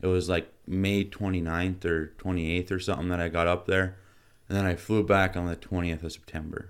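A man with an American accent speaks in a very deep, low voice with a flat, monotone delivery. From Michigan and North Dakota. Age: 20s. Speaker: hunting and fishing guide. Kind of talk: casual interview.

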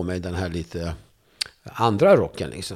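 Very clean audio with a silent background carries a man's voice. He speaks at a moderate pace. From Turkey (Kurdish). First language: Kurdish (speaking Swedish). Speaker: journalist and debater. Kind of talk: interview conversation. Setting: studio.

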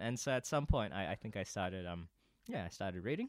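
This man talks with a New Zealand accent. His pace is very fast. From New Zealand, Auckland. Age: 20s. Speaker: podcast guest. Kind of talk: casual chat.

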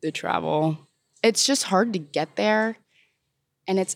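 A woman with a Californian accent speaks at a fairly low pitch and a moderate pace with ordinary pitch variation, recorded dry and close with no echo on a very clean track with a silent background. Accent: Californian American. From Southern California. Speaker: college student. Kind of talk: interview.

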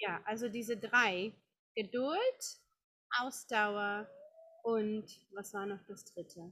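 A woman's bright, sharp voice at a fairly high pitch, very slow with long, frequent pauses, fairly even intonation and big swings in loudness. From Czech Republic, Prague. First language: Czech (speaking German). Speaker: yoga teacher. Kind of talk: interview. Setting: outdoor garden. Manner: halting.

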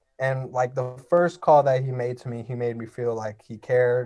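Over a quiet background, a man with an American accent talks at a moderate pace in a medium pitch with a dark, mellow tone. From US West Coast, northeast Los Angeles. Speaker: college volleyball player. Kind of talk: casual interview. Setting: remote call.

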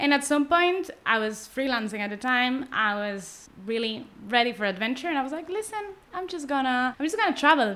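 A woman's raised, projected voice, high in pitch and bright and sharp in tone, with very wide pitch swings and a fairly quick pace. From Spain, Barcelona. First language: Spanish or Catalan. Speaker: cartoonist. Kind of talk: casual interview chat.

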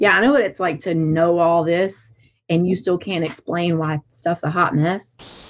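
A woman speaks in a Southern US accent at a fairly slow pace. Her voice is fairly low, with ordinary pitch variation. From south Alabama. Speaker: licensed counselor and practice owner. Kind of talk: interview conversation.

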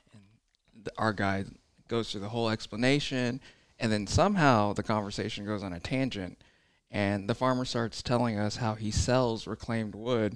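In a normal speaking voice, a man talks at medium pitch and a moderate pace with fairly even intonation. The recording is very clean, with a silent background. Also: big swings in loudness. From born in China, raised in the US. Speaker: bowhunter. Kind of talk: casual chat.

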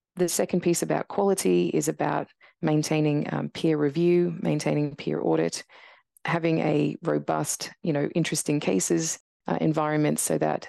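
In an Australian accent, a woman speaks at a moderate pace with a dry, close sound with no echo and a quiet background. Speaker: radiologist and professor. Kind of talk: interview conversation.

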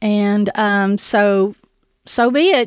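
A woman is speaking. The sound is dry and close with no echo, on a very clean recording with a silent background. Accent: Southern US. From Tennessee, East Nashville. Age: 50s. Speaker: food bank director. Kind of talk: interview, personal testimony. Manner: halting.

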